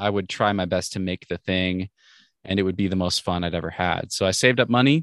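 A normal speaking voice with an American accent moves at a fairly quick pace. The sound is dry and close with no echo, over a quiet background. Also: man. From US Northwest, Washington State. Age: 30s. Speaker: rock climber and podcaster. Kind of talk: casual interview chat. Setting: video call from inside a van.

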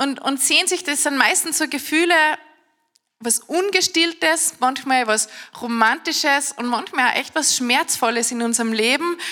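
Raised and projected, a woman's high voice carries an animated tone with ordinary pitch variation. She speaks at a fairly slow pace. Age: 30s. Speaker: preacher. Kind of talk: sermon.

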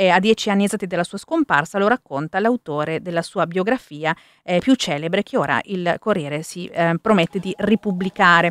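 With a plain, everyday voice, a woman speaks fairly quickly at a medium pitch with ordinary pitch variation, in a dry, close sound with no echo. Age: 30s. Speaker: radio host. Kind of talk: morning radio show.

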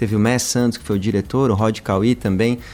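An unremarkable speaking voice, fairly even in intonation and fairly quick in pace. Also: man. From São Paulo, Brazil. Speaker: singer-songwriter in a duo. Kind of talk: radio interview. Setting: radio studio.

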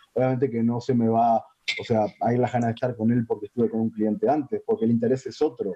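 At a very fast pace, a man talks at a medium pitch in a monotone, flat intonation. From Uruguay. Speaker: sex worker. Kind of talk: casual chat.

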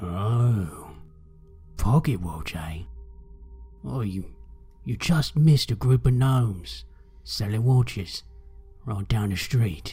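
A man's put-on character voice, fairly low in pitch, at a very slow pace with long, frequent pauses over background music. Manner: sly, mocking, casual.

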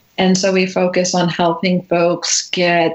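A woman speaks at a fairly low pitch. Noticeable background noise runs underneath. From Massachusetts (Natick, near Boston). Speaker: estate planning attorney. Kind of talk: radio interview.

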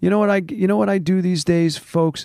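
A man with a New York accent at a fairly quick pace, in a very clean recording with a silent background and a dry, close sound with no echo. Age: 50s. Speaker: doctor. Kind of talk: casual chat. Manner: halting.

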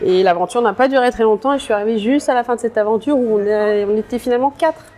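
A woman talks at a very fast pace with very even loudness and ordinary pitch variation. Noticeable background noise runs behind her. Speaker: journalist. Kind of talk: interview. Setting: cafe. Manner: halting.

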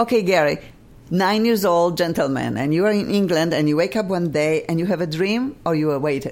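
A woman with a Polish accent, fairly low-pitched, lively in intonation and fairly quick in pace. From Poland. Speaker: radio host. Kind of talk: casual chat. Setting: studio. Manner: animated.

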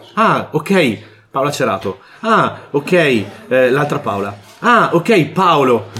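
Speaking at a very slow pace, a man with a fairly high voice makes very wide pitch swings. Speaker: board game podcast co-host. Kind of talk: casual chat.

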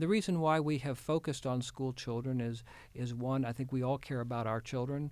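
With an American accent and an ordinary speaking voice, a man talks at a fairly quick pace and medium pitch, his pitch varying in an ordinary way, on a very clean recording with a silent background. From Houston, Texas. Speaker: state health official, physician. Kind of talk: interview.

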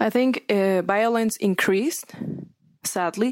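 A woman speaks very slowly with a Spanish accent and fairly even intonation. The recording is very clean, with a silent background and a dry, close sound with no echo. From Mexico, Sinaloa. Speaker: newspaper reporter. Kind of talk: casual chat.

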